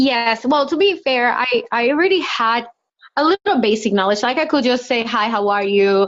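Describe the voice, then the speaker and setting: A woman with a Spanish accent talks at a moderate pace and high pitch, her intonation lively and her loudness very even. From Dominican Republic. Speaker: lawyer. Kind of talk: interview.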